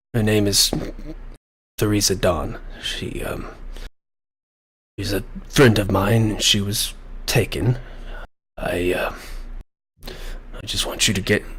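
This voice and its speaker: Putting on a raspy character voice, a man speaks fairly slowly at a fairly low pitch with fairly even intonation and long, frequent pauses. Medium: actual play. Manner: hesitant, halting.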